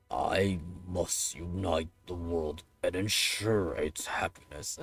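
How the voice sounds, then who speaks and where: At a very slow pace, a man uses a raspy put-on character voice pitched very deep and low. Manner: grand, commanding.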